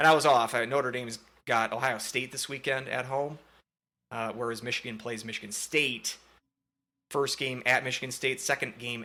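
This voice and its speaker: A man's bright, sharp, medium-pitched voice with a Minnesotan accent, monotone and flat at a moderate pace, on a very clean recording with a silent background. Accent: Minnesota. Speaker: sports podcast host. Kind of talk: casual sports chat. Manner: hesitant, many fillers.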